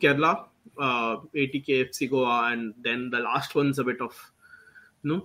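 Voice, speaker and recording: A man speaking at a fairly slow pace. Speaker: football podcast host. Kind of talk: casual chat about football.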